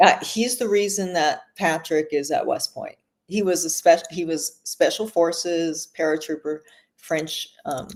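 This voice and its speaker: At a fairly slow pace, a woman with an American accent talks in a plain, everyday voice, fairly low in pitch with ordinary pitch variation. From Los Angeles, US. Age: 60s. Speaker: author and screenwriter. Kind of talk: casual chat.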